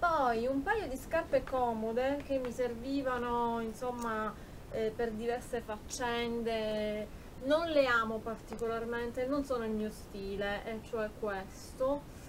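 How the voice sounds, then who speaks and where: A woman at a very slow pace, over light background noise. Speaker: YouTube beauty and shopping vlogger. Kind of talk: haul video, casual talk to camera. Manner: animated, chatty with fillers. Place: home room. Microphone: phone near.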